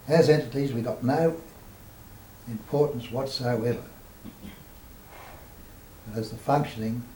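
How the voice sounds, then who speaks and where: A man with a medium pitch talks at a very slow pace, pausing long and often. His intonation stays fairly even. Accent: Australian. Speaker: spiritual teacher. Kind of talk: spiritual talk at a meeting.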